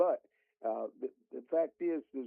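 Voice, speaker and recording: A man with a Southern US accent. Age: 80s+. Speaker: college football analyst. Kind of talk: radio interview. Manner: halting.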